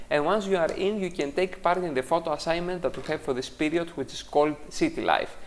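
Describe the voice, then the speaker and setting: With a non-native accent, the speaker talks at a very fast pace with hardly any pauses. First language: not English. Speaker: photography teacher and critique show host. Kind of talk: tutorial. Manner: hesitant, frequent fillers.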